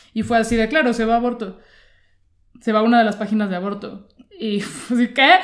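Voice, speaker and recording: Speaking at a fairly quick pace yet with long, frequent pauses, a woman with a Mexican accent uses a fairly high pitch and fairly even intonation. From Mexico. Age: 30s. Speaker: comedian and journalist. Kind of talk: interview conversation.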